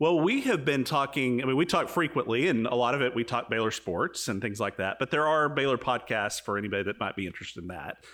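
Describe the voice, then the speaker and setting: A man talks at a very fast pace and medium pitch. The recording is very clean, with a silent background. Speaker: podcast host. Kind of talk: casual chat. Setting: in person.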